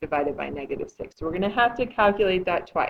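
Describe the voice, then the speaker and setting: At a medium pitch with ordinary pitch variation, a woman speaks in an unremarkable speaking voice. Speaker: math teacher. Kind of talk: tutorial.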